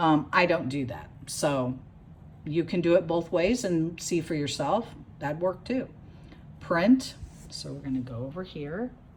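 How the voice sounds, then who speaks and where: A woman with a fairly low pitch and lively intonation speaks at a fairly slow pace, with long, frequent pauses and big swings in loudness. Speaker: crafting tutorial youtuber. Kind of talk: tutorial. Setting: home sewing craft room. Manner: slow and loud.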